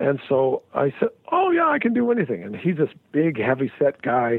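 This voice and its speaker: The pace of this man's speech is moderate. He talks with an American accent. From Salt Lake City, Utah. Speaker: musician and producer. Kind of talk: interview.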